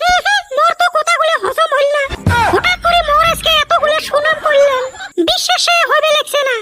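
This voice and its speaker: A woman uses a cartoonish character voice at an extremely high pitch with very wide pitch swings. Her loudness stays very even, with music in the background. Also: moderate pace. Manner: wheedling.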